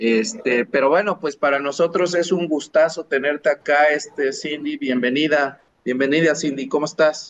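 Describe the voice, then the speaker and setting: In an ordinary speaking voice, a man talks at a moderate pace with a fairly high pitch, ordinary pitch variation and hardly any pauses. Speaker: podcast co-host, sociologist. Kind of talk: casual chat.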